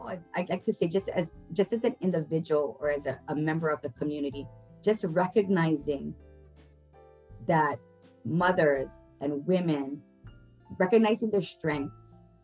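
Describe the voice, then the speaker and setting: Over music in the background, a woman with a very deep, low voice speaks at a fairly slow pace with ordinary pitch variation. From Hilo, Hawaii. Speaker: family advocate. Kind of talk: interview answer.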